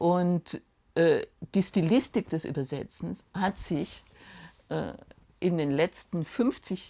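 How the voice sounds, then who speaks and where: Very deep and low in pitch, a woman speaks at a very slow pace with vocal fry and lively intonation. The recording is very clean and the background silent. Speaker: literary translator from Russian. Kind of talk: documentary interview answer.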